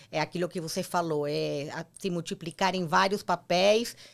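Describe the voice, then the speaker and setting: A woman is talking, her pitch varying in an ordinary way. The background is silent and the recording very clean. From Argentina. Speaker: entrepreneur, former marketing executive. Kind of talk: interview.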